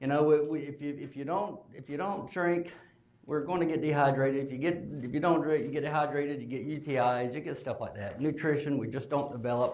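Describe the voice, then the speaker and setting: A fairly high-pitched man at a fairly quick clip, with ordinary pitch variation and audible room echo. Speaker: speech pathologist. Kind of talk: conference lecture. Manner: casual, conversational.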